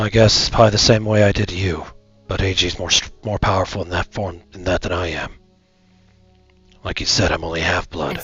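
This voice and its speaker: Raspy and fairly quick, the put-on character voice has big swings in loudness, with faint music in the background. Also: man, very deep, low pitch for a man. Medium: virtual streamer. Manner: sighing, weary.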